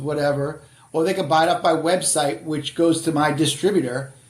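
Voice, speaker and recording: Audible room echo surrounds a man with an American accent whose fairly high voice keeps fairly even intonation. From Boston area, Massachusetts. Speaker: author and career adviser. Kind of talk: casual podcast interview.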